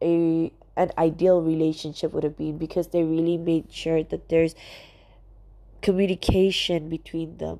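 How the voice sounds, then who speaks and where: Speaking at a fairly slow pace, a woman has a fairly low pitch and a dark, mellow tone. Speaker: podcast host. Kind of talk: casual chat. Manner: jumbled, rambling delivery.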